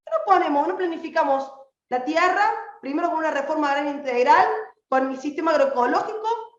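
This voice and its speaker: Over audible room echo, a woman talks at a fairly quick pace in a high pitch with an animated tone. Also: ordinary pitch variation. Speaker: activist. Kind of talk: political speech. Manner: fast.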